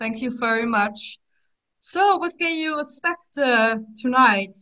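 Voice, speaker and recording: At a fairly slow pace, a woman talks in a fairly high pitch with a bright, sharp tone. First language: Dutch. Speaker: psychotherapist, webinar host. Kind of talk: webinar presentation. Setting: online webinar.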